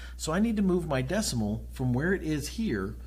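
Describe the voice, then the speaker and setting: A man speaks at a moderate pace, and audible room echo follows his words. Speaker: chemistry teacher. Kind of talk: lecture.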